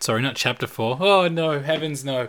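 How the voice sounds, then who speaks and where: Bright and sharp in tone, a man with an Australian accent speaks at a fairly high pitch with lively intonation. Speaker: podcast co-host, pastor's kid. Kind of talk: casual chat; reading aloud.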